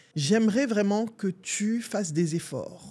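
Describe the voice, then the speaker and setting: A woman's fairly high, somewhat breathy voice carries a dark, mellow tone and lively intonation. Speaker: coach and video host. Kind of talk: advice monologue to camera. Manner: assertive, emphatic.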